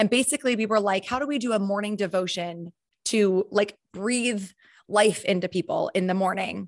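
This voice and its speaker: The speaker has a normal speaking voice with ordinary pitch variation at a moderate pace. The sound is dry and close, with no echo. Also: woman, medium pitch for a woman. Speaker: podcast host. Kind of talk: casual interview.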